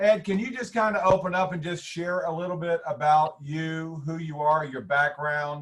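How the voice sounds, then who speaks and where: A man with an unremarkable speaking voice talks at a moderate pace with ordinary pitch variation. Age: 60s. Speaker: webinar host, former stockbroker. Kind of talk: webinar interview.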